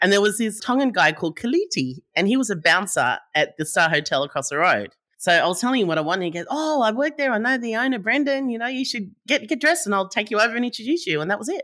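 In a very clean recording with a silent background, a woman with an Australian accent talks at a very fast pace with hardly any pauses. Her fairly high voice has a bright, sharp tone and very wide pitch swings. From Australia, New South Wales (Sydney, Howlong near Albury). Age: 50s. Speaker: entrepreneur, startup founder. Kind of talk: interview.

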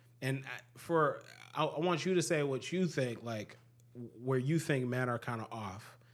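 With an ordinary speaking voice, a man talks at a medium pitch and a moderate speed, his pitch varying in an ordinary way. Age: 20s. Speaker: podcast host. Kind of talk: casual chat.

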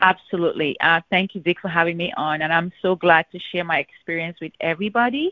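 A woman speaks in an ordinary speaking voice at a fairly low pitch. Her intonation stays fairly even, with hardly any pauses. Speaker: insurance agent. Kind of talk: casual phone conversation. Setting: phone call.

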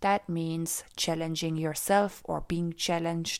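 A woman's fairly low voice at a very slow pace with fairly even intonation, in a very clean recording with a silent background. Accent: German. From Austria. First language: German. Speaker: life and mindset coach. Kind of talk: podcast monologue.

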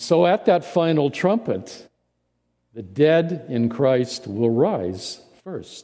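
Speaking at a very slow pace, a man uses a fairly high pitch with very wide pitch swings. His tone is dark and mellow. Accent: Midwestern American. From US Midwest (central Indiana). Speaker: interim pastor. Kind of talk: sermon. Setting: church. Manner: halting, frequent fillers and repeated words.

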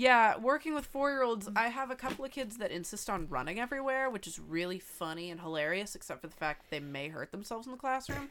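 A woman at a fairly high pitch and very fast pace with hardly any pauses, very wide pitch swings, big swings in loudness, and music in the background. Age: 20s. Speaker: podcast co-host. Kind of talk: casual chat. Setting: home microphone recording.

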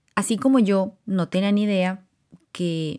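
On a very clean recording with a silent background, a woman speaks in a fairly low voice with a dark, mellow tone. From Colombia. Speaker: podcast host. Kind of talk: personal monologue.

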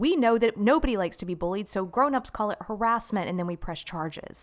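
A woman speaks at a fairly quick pace in an American accent, her pitch medium and her intonation lively. The recording is very clean, with a silent background. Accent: Southern twang, turned on at times. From Florida, Jacksonville. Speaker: actress and dancer. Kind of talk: casual chat.

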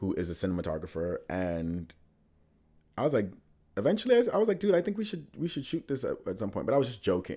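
A man talks at a fairly quick pace with very wide pitch swings, on a very clean recording over a silent background. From Bahamas, Nassau. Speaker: actor and writer. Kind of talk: casual chat.

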